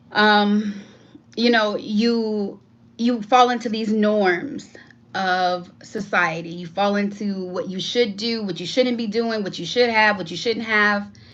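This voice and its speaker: Recorded with audible room echo, a woman talks at a medium pitch. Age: 40s. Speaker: YouTuber. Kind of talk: casual livestream monologue. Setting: live stream.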